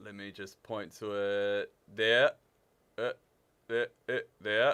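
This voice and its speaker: Speaking very slowly at a medium pitch, a man with a New Zealand accent is heard in a dry, close sound with no echo. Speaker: livestream gamer and shop staff. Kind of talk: live stream chat. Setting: studio. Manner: casual, halting.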